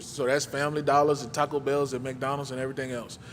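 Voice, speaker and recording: A man's medium-pitched voice, monotone and flat, comes with audible room echo. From New Orleans, Louisiana. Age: 30s. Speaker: guest speaker, community mentor. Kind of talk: personal testimony talk at a church service. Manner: casual, conversational.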